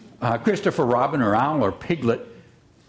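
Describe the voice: This is plain reading aloud. Nothing more stands out in the delivery.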